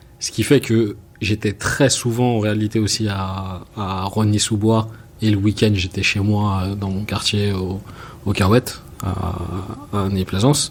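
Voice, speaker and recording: The intonation is monotone and flat. Noticeable background noise can be heard. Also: man, fairly low pitch for a man. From France, Seine-Saint-Denis (Paris suburbs). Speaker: film and music video director. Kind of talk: interview. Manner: hesitant, many fillers.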